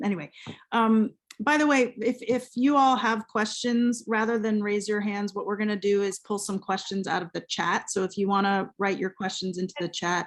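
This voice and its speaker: Here a woman has an unremarkable speaking voice, medium in pitch with ordinary pitch variation. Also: moderate pace. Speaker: event host, creative writer. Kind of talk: moderated conversation.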